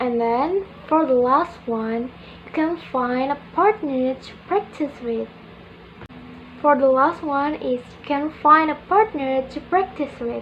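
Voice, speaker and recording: Noticeable background noise sits behind speech that unfolds very slowly. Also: woman, high pitch for a woman, ordinary pitch variation. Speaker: university student. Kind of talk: class presentation.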